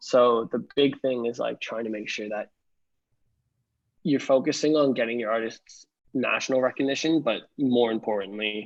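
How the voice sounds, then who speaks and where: A man's unremarkable speaking voice with a Canadian accent, medium pitch, moderate pace and fairly even intonation. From Canada, outside Toronto. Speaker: music industry professional. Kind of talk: interview.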